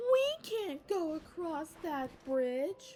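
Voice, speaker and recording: Putting on a character voice, a woman speaks at an extremely high pitch with very wide pitch swings. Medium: read story. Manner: stammering, fearful.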